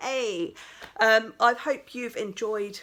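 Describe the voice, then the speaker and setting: Noticeable background noise sits behind a woman with an English accent whose fairly high voice has lively intonation. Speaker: crafting vlogger. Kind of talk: casual vlog chat. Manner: animated.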